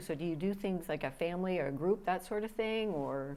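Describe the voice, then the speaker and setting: A woman with a Canadian accent talks at a fairly quick pace. Her pitch is fairly low, with ordinary variation. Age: 60s. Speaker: TV interviewer. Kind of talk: TV interview. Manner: halting.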